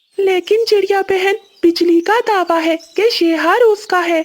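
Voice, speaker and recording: At a moderate pace, the speaker uses a cartoonish character voice with extremely high pitch. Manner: calm, concerned.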